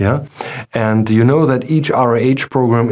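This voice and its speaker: A man with a German accent, medium pitch, ordinary pitch variation and a fairly slow pace, against a quiet background. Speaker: company webinar host. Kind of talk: webinar presentation. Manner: halting, many fillers. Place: studio.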